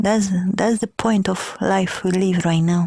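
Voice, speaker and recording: The pace is fairly slow and the voice somewhat breathy. The sound is dry and close, with no echo. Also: woman. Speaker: podcaster. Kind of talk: casual podcast talk.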